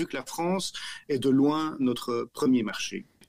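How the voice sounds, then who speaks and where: This is a man's voice. He speaks with a Belgian accent. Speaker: company director. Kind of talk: podcast interview. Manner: halting, repeats words.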